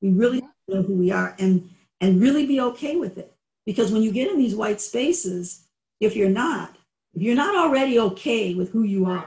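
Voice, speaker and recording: A somewhat breathy woman talks at a fairly quick pace with lively intonation. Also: fairly high pitch for a woman. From Niagara Falls, New York. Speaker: podcast host, diversity consultant. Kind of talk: podcast interview. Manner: halting.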